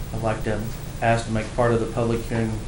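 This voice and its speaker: A man is speaking with noticeable background noise. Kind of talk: formal report and letter reading. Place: hall. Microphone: podium.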